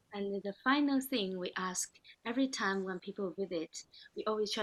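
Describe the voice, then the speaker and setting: A woman at medium pitch, moderate pace and ordinary pitch variation, in a dry, close sound with no echo. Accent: non-native. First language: Chinese. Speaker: podcast host. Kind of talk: podcast interview.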